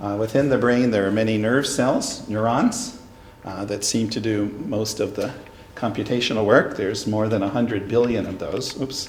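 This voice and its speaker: Amid noticeable background noise and audible room echo, a man speaks at medium pitch and a moderate pace with fairly even intonation. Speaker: neuroscience professor. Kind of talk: lecture. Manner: loud.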